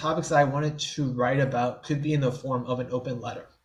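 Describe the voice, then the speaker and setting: This man talks with an American accent. A slight airiness runs through his voice. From New Orleans area, Louisiana, US. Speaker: writer, person who stutters. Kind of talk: podcast interview answer.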